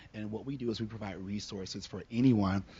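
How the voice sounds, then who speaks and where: The speech runs at a very fast pace with fairly even intonation. The voice is somewhat breathy. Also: man. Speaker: social worker on a panel. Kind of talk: panel discussion. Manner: fast-talking.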